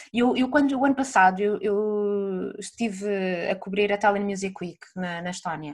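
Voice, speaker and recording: At a moderate pace, a woman with a medium pitch talks in an unremarkable speaking voice. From northern Portugal. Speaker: music journalist. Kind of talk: casual chat.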